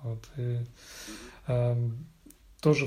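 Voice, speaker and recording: This man's voice has a dark, mellow tone. It sounds somewhat breathy. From Russia, Vladimir and Moscow. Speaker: IT specialist. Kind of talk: casual interview conversation. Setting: late evening, Monday. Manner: hesitant, many fillers.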